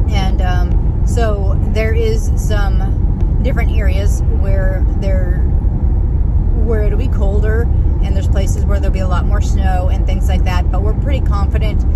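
A woman talks at a fairly slow pace over loud background noise, her voice dry with no echo. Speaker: vlogger driving. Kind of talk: casual vlog chat. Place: car. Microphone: phone near.

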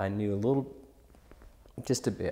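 With ordinary pitch variation, the talking proceeds at a moderate pace. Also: man. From Kentucky (Louisville); Kentucky. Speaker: musician (bassist); interviewee. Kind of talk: interview. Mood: relaxed, reflective.

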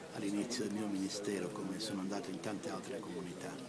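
A man talks over loud background noise. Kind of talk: interview answer. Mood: moved, reflective. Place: garden. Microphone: handheld.

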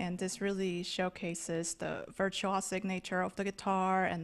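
With a fairly low pitch, a woman talks at a fairly slow pace.

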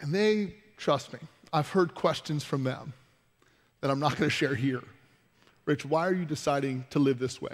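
At a moderate pace with long, frequent pauses, this voice shows ordinary pitch variation over a quiet background. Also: man, fairly high pitch for a man. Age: 20s. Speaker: pastor. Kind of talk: sermon. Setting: church. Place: church.

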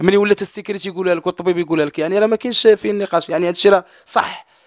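Against a quiet background, a man speaks with a dry sound and no echo. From Morocco. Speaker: brother of missing woman, content creator; content creator. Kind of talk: interview testimony. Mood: earnest, sorrowful. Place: home room. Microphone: handheld.

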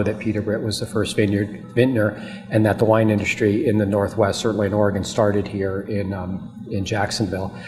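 Over clear background noise, a man talks at a fairly quick pace with few pauses, his fairly low voice showing little pitch movement.

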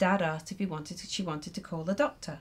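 A woman talks in a somewhat breathy voice. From Ireland. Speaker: poet. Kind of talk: poetry performance. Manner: measured, expressive reading with dry, wry storytelling.

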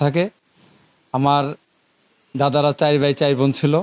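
The man's fairly high voice has a dry, close sound with no echo. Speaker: local council chairman. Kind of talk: interview.

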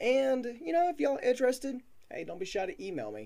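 The background is quiet. The speech moves at a fairly quick pace. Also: man. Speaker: small channel creator. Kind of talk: casual vlog chat. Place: home room. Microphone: webcam.

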